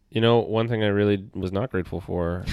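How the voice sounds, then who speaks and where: On a very clean recording with a silent background, a man with a Canadian accent speaks with fairly even intonation. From Canada, Toronto. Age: 30s. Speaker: astrologer. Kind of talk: casual chat.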